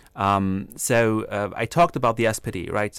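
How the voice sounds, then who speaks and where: A man's fairly low voice comes through on a very clean recording with a silent background. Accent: German. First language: German. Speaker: political science researcher. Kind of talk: radio interview. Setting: studio.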